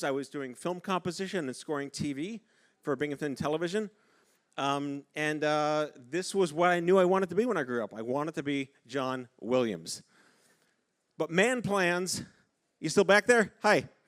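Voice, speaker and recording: A man with a fairly high voice sounds animated, his intonation lively, in a very clean recording with a silent background. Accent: New York. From New York City. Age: 50s. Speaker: keynote speaker. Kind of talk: keynote speech. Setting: stage with audience. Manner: fast.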